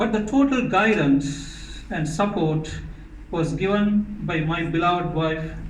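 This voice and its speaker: Amid noticeable background noise and audible room echo, a man speaks at a fairly slow pace. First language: Tamil. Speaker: author. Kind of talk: speech at book launch.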